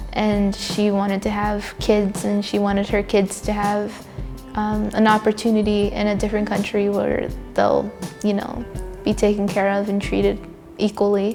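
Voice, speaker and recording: A woman speaks at a moderate pace with a medium pitch and a monotone, flat delivery, with music playing in the background. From Vancouver, Canada. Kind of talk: interview answer.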